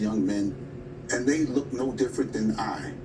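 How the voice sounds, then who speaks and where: A man with a New York accent talks at a fairly quick pace. Noticeable background noise runs underneath. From New York City, Queens. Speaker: labor union president. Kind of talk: TV news interview. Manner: emphatic.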